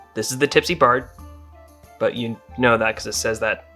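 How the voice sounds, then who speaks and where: There is music behind a man as he speaks. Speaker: comedy game storyteller. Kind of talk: drunken comedic video game retelling. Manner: casual, rambling.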